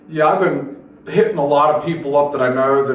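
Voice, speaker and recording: A man with an American accent speaks at a fairly quick pace with fairly even intonation. Audible room echo and noticeable background noise surround his voice. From Philadelphia, Pennsylvania. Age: 60s. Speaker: metal drummer. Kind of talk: radio interview. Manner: casual, halting with fillers.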